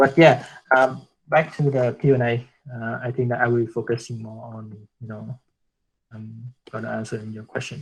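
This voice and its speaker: A man's somewhat breathy, medium-pitched voice at a moderate pace, with fairly even intonation, big swings in loudness and long, frequent pauses. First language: Vietnamese. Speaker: guest speaker on branding. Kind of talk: online workshop Q&A. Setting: video call. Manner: halting, many fillers and repetitions.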